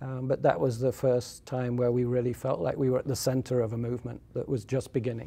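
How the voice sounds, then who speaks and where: With an English accent, a man rushes along at a very fast pace with hardly any pauses, his medium-pitched, somewhat breathy voice dark and mellow in tone and his intonation fairly even. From southern England. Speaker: solar energy expert. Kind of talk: interview. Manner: hesitant, many fillers.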